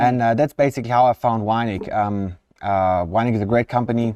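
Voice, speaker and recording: Against a quiet background, a man with a slight southern German accent speaks at a fairly quick pace in a medium pitch, his tone dark and mellow and his intonation fairly even. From southern Germany. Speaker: product manager. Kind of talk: live stream interview. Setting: live stream in front of machine.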